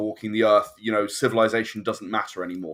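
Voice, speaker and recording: With a British accent, a man speaks on a very clean recording over a silent background. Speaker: game designer. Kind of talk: casual chat. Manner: halting.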